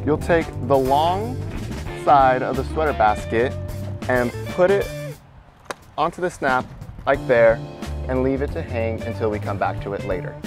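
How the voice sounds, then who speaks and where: A man talks at a moderate pace with long, frequent pauses. Clear music plays in the background, and the sound is dry with no echo. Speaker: installer demonstrating. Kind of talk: tutorial.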